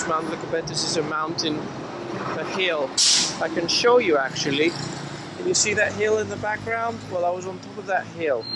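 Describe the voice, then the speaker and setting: Long, frequent pauses break up the speech against loud background noise. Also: moderate pace. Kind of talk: casual vlog chat. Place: street. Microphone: phone near.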